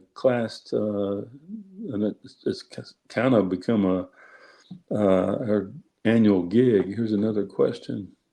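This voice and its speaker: A man with a slight Southern US accent speaks at a very slow pace in a fairly low pitch, his tone dark and mellow. His intonation is monotone and flat, and the background is quiet. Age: 60s. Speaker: judge and author. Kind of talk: interview. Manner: halting, many fillers.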